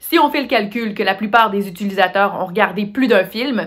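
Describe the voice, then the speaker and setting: A woman with a Quebec accent speaks at a medium pitch. Her pace is moderate, and her pitch varies in an ordinary way. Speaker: master of ceremonies. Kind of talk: award ceremony hosting. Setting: recorded at home for online broadcast.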